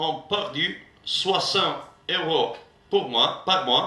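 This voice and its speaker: Audible room echo and noticeable background noise surround a man with an Italian accent, fairly high in pitch with ordinary pitch variation. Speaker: trade union delegate. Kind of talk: rally speech. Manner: halting.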